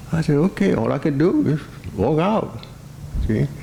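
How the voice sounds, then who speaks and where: Speaking fairly slowly in an American accent, a man is heard against noticeable background noise. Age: 80s+. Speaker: certified public accountant. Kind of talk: speech to an audience, personal stories. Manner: hesitant, conversational.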